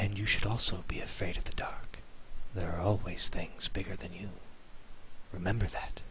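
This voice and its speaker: A man whispers in a put-on character voice, breathy and at a moderate pace, with long, frequent pauses. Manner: menacing, slow.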